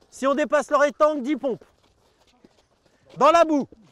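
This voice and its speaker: Fairly slow speech with fairly even intonation in a dry, close sound with no echo. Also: man. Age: 50s. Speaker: martial arts instructor. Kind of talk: class instruction; interview monologue. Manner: loud commanding; halting, many hesitations.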